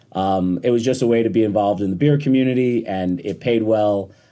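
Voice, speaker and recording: A man with an American accent speaks at a fairly quick pace in a fairly low pitch and a dark, mellow tone, with ordinary pitch variation, on a very clean recording with a silent background. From US, upstate New York (Rochester). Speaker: distiller. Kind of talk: podcast interview. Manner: relaxed, hesitant fillers.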